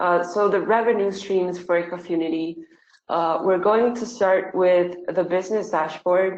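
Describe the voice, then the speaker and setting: A woman's medium-pitched voice with a Spanish accent, monotone and flat, at a fairly slow pace. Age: 20s. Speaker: tech startup founder. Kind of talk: online webinar Q&A. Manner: hesitant, many fillers.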